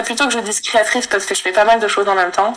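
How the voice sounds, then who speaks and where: This woman has a fairly high pitch. Noticeable background noise runs behind her. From Asia, notably Taiwan. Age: 30s. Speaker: illustrator and content creator. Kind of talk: casual interview chat.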